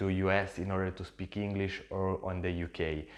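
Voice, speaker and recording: Against a quiet background, a man with a very deep, low pitch and an Italian accent speaks at a moderate pace in a monotone, flat intonation. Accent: non-native English, Italian. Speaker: social media entrepreneur, YouTuber. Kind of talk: casual vlog talk to camera. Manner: halting, with fillers.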